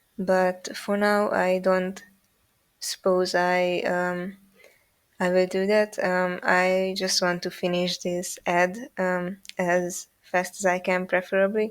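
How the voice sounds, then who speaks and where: A woman's very slow, monotone speech with flat intonation. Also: medium pitch for a woman. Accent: non-native. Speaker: animator. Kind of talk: casual chat. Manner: halting, many fillers.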